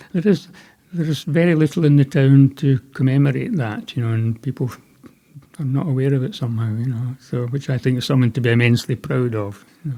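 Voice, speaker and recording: Medium-pitched male voice in a Scottish accent, dark and mellow in tone, with ordinary pitch variation. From west Scotland, Ayrshire. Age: 70s. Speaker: veterinarian and pet food company founder. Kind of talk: podcast interview.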